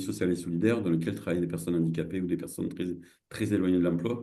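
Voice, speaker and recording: A man with a very deep, low voice and a dark, mellow tone speaks with ordinary pitch variation, and the room echo is audible. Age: 60s. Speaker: social entrepreneur and cooperative founder. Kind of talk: online masterclass presentation. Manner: halting, many hesitations and repetitions.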